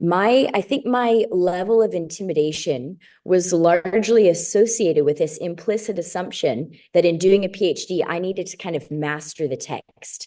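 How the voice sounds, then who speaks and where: In a quiet background, a woman with an American accent speaks in a dark, mellow tone. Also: medium pitch for a woman, ordinary pitch variation, moderate pace. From US Midwest, Chicago area. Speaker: doctoral student in biblical studies. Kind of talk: interview.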